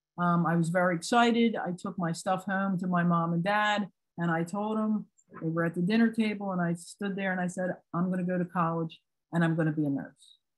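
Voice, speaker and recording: A somewhat breathy woman at a medium pitch, fairly quick pace and fairly even intonation. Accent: American. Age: 60s. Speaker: retired psychiatric nurse and trainer. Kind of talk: personal testimony in a training webinar. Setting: online webinar.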